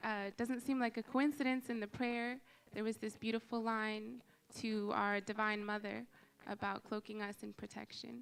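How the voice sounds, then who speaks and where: A woman speaks softly at a fairly slow pace. Her pitch is fairly high and her intonation fairly even. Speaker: first-time visitor. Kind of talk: church sharing time. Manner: soft-spoken.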